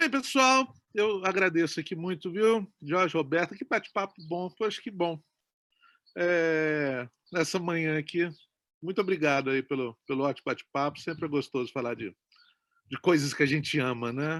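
A plain, everyday voice, a man at fairly high pitch with lively intonation and a moderate pace, in a dry, close sound with no echo. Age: 40s. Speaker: film director. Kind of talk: interview.

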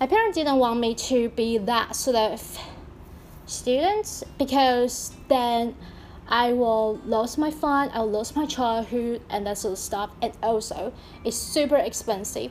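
A woman's high voice with ordinary pitch variation. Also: fairly slow pace. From Taiwan. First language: Mandarin Chinese. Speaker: podcaster. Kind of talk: casual monologue.

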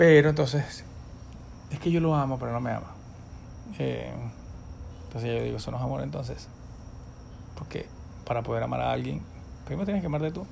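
The speaker talks at a fairly quick pace with a Venezuelan accent. Long, frequent pauses break up the speech, and the room echo is audible. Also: man. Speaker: ophthalmologist and professor. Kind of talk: casual chat.

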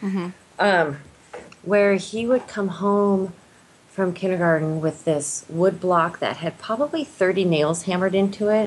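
In an American accent, a woman uses an ordinary speaking voice at medium pitch with ordinary pitch variation and a fairly slow pace. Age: 40s. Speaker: school nurse. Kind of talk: casual chat.

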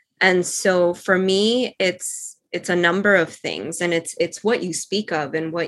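Speaking at a very slow pace, a woman has a fairly low pitch and ordinary pitch variation. The recording is very clean, with a silent background. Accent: Spanish. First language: Spanish. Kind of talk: casual chat. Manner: animated, laughing often.

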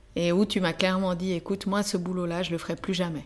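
In a monotone, flat intonation, a woman talks at a medium pitch. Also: very clean recording, silent background. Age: 30s. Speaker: podcast host. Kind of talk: interview conversation with spouse.

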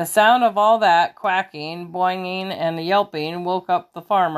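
Natural voice for reading aloud

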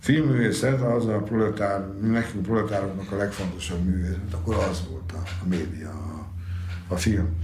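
A man at a moderate pace with ordinary pitch variation, noticeable background noise and audible room echo. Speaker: university lecturer and Italy expert. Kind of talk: interview.

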